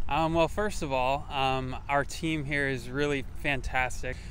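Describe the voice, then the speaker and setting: A man talks at a fairly slow pace. The sound is dry with no echo, and light background noise is present. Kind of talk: interview answer. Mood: friendly, positive. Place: street. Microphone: lapel.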